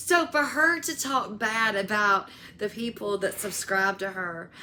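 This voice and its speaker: The woman speaks at a fairly slow pace. Her tone is animated. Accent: Southern US. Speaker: YouTuber, commentary creator. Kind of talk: casual commentary vlog.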